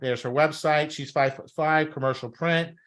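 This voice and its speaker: A bright, sharp tone with an American accent at a moderate pace over a quiet background. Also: man. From New York, Brooklyn. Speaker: talent agency coach. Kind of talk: workshop presentation. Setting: live stream over Zoom. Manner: animated.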